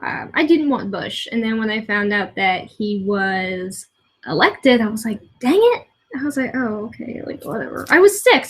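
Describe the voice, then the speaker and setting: A woman speaks with a fairly high pitch and lively intonation, her voice somewhat breathy. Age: 20s. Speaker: vlogger. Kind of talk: casual vlog monologue. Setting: at home. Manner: rambling with many fillers.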